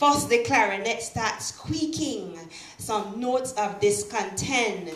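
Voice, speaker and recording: A woman speaks very slowly at a fairly high pitch with ordinary variation. Background noise is noticeable. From Belize. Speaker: writer and poet. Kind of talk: poetry reading.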